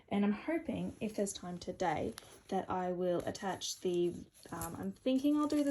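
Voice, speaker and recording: At a moderate pace, a woman speaks in a medium pitch with lively intonation, her tone dark and mellow and somewhat breathy. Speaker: cosplayer and vlogger. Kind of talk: casual vlog. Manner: quiet.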